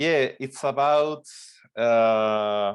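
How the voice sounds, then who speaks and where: This man's voice sits at a fairly low pitch. He speaks at a very slow pace against a quiet background. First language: Spanish. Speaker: film director. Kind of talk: interview Q&A. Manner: halting, many fillers.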